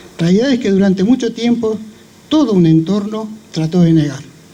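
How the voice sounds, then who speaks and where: Noticeable background noise beneath a man speaking high for a male voice. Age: 70s. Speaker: speaker at a memorial event, survivor of dictatorship. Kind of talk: commemorative speech. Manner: formal.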